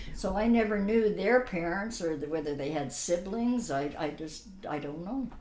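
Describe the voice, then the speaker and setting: Audible room echo surrounds a woman speaking at a moderate pace and medium pitch with lively intonation. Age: 80s+. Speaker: grandmother telling her life story. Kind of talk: family interview. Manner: halting.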